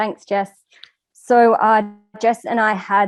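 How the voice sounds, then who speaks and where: A woman speaks with an Australian accent. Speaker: course trainer. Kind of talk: webinar presentation. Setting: online webinar.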